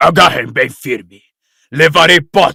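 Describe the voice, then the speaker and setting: The man's put-on character voice is raspy. His delivery moves at a fairly slow pace. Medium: audio drama. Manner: menacing, greedy.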